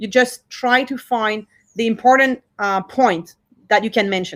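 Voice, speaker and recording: Pitched fairly high, a woman speaks with a French accent. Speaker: cultural institute director. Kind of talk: workshop talk. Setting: video call.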